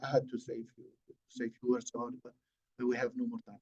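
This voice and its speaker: The recording sounds dry and close, without any echo. A man talks, his pitch varying in an ordinary way. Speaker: AI expert speaker. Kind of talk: webinar lecture. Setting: online webinar. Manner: halting.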